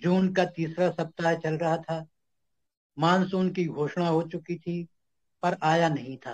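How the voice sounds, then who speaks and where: This is a man with a high pitch. His intonation stays fairly even. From Vidisha, Madhya Pradesh, India. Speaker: author reading own story. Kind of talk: short story reading.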